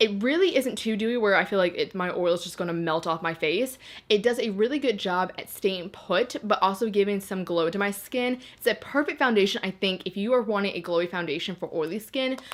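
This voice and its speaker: Over noticeable background noise, a woman with a medium pitch speaks at a fairly quick pace in an animated tone, with hardly any pauses. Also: ordinary pitch variation. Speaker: beauty YouTuber. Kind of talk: product review vlog. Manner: fast.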